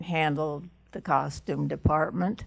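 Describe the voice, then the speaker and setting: Her pitch very deep and low, a woman speaks at a very slow pace. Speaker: costume designer; guest. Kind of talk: interview before a live audience. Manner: halting. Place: meeting room. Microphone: handheld.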